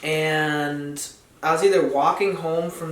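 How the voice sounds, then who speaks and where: A man talks at a very slow pace with fairly even intonation. Noticeable background noise and audible room echo fill the recording. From central New York (Dryden). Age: 19. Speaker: skateboarder and college student. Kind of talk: casual podcast interview.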